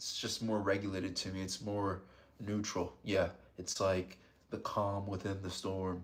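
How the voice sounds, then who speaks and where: A man's fairly low voice in a South Florida accent. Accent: American, South Florida. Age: 30s. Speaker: ASMR streamer. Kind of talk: live stream chat. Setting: live stream. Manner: soft-spoken, calm ASMR tone; low volume. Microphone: close to the microphone.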